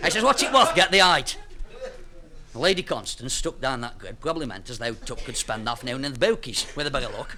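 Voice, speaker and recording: A man with a fairly high voice and a Staffordshire Potteries accent, fairly quick pace, very wide pitch swings, big jumps in loudness, and noticeable background noise. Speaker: storyteller. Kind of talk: comic dialect story.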